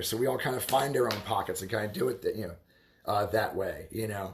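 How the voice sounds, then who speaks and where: A man with vocal fry at a fairly quick pace. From Baltimore, US. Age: 30s. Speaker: livestreamer talking about subculture. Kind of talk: casual livestream monologue. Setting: live stream at home. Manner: halting, many fillers and repetitions.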